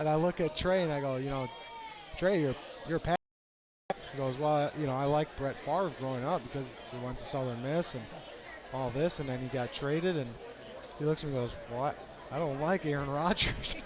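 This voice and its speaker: With a Wisconsin accent, a man with a fairly high pitch speaks at a fairly quick pace, leaving long, frequent pauses. His intonation is fairly even, and crowd noise sits in the background. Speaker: sports commentator. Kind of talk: casual chat; live commentary.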